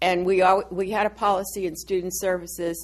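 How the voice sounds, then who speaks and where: A woman with an American accent speaks at a moderate pace and medium pitch with vocal fry. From Massachusetts. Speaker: retired college dean. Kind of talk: oral history interview. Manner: casual, halting.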